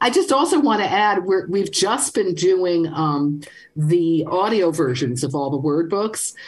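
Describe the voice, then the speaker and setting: A woman with a New York accent and lively intonation. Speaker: language author. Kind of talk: call-in radio show.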